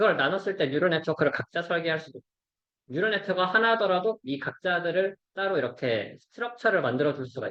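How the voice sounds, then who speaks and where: A man's high-pitched, very fast speech with lively intonation. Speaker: robotics researcher presenting seminar. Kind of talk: academic seminar lecture.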